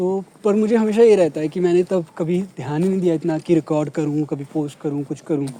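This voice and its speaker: This man talks at a moderate pace with a high pitch for a man, ordinary pitch variation and hardly any pauses. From Punjab, India. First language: Punjabi (speaking Hindi). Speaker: vlogger. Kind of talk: casual chat.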